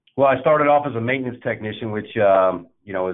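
A man with an American accent, fairly quick pace and ordinary pitch variation. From Indiana, US Midwest. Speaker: army veteran, operations manager. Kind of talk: interview. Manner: halting, many fillers.

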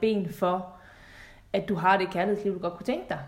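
A woman at medium pitch with fairly even intonation, set in audible room echo. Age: 30s. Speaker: relationship coach. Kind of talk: podcast interview.

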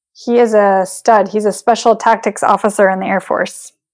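A woman with an American accent speaks in a plain, everyday voice at a fairly high pitch with fairly even intonation. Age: 30s. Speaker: triathlete. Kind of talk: casual chat.

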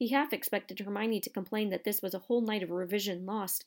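This is an unforced reading voice. Nothing else stands out.

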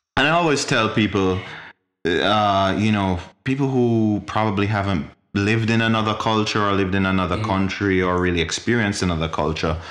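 In a room with audible echo, a man talks at a fairly quick pace with a fairly low pitch, ordinary pitch variation and very even loudness. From Jamaica. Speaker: podcast guest. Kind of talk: casual chat.

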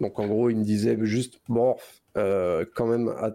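Dark and mellow in tone, a man speaks at a medium pitch with ordinary pitch variation. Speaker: illustrator and concept artist. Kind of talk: casual interview. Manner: hesitant, many fillers.

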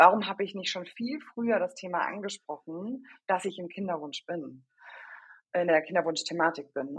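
A woman's normal speaking voice, fairly low in pitch, at a moderate pace. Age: 30s. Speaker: HR consultant. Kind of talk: podcast interview.

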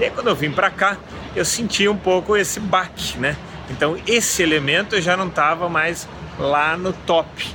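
A man speaks at a moderate pace in a high voice, with ordinary pitch variation, very even loudness and noticeable background noise. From Brazil. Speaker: podcast host, business coach. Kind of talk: solo podcast monologue. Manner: casual.

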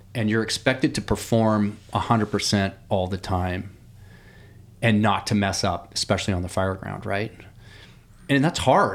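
An American-accented man with a fairly low voice speaks at a moderate pace with ordinary pitch variation. He takes long, frequent pauses in a very clean recording with a silent background. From eastern Oregon, La Grande. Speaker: firefighter. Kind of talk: casual interview. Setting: studio.

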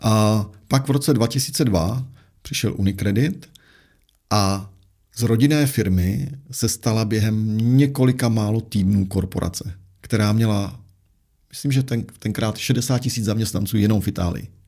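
A man speaks with a dark, mellow tone. He keeps a fairly slow pace. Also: medium pitch for a man, ordinary pitch variation. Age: 40s. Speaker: investment adviser, former portfolio manager. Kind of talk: interview. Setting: studio.

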